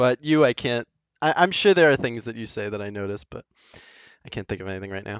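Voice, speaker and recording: In a strong Northern US accent, a man races along at a very fast pace at medium pitch, his intonation lively and his loudness swinging widely. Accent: thick Northern US. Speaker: programmer streaming game engine development. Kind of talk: casual chat.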